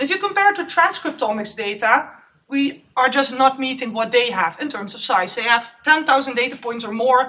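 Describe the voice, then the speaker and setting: Raised and projected, a woman's high-pitched voice moves at a moderate pace with lively intonation and big swings in loudness. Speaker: postdoc researcher. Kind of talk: conference talk.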